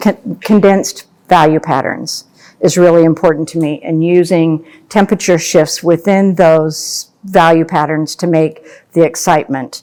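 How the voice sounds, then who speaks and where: Speaking with an American accent, a woman has a fairly low pitch and a dark, mellow tone. Her intonation is fairly even. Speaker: landscape painter. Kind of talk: painting demonstration. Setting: gallery with live audience. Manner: slow; soft-spoken.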